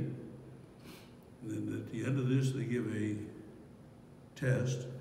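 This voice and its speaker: Over noticeable background noise and audible room echo, a man with an American accent talks at a fairly slow pace, with fairly even intonation and long, frequent pauses. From West Virginia, Morgantown. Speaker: professor. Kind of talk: interview.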